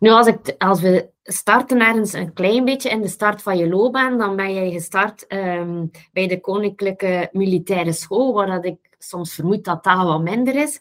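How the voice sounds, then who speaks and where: With a normal speaking voice, a woman at medium pitch talks at a fairly slow pace, with hardly any pauses and ordinary pitch variation. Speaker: podcast host. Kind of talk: casual interview conversation.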